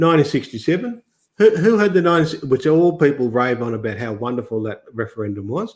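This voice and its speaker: A man races along at a very fast pace with very wide pitch swings. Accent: Australian. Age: 60s. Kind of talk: podcast interview. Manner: halting, many restarts.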